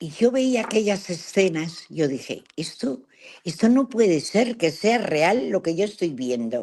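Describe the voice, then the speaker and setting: At a fairly slow pace, a woman talks in a dark, mellow tone and a fairly low pitch. Her pitch swings very widely. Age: 80s+. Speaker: travel adventurer. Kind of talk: interview storytelling.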